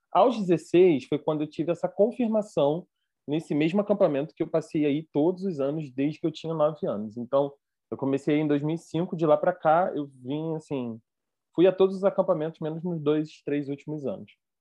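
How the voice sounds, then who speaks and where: Speaking with a Rio de Janeiro accent, a man has a fairly high pitch and ordinary pitch variation. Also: moderate pace. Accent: carioca. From Rio de Janeiro, Brazil. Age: 20s. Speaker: theologian and former youth pastor. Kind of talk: casual chat.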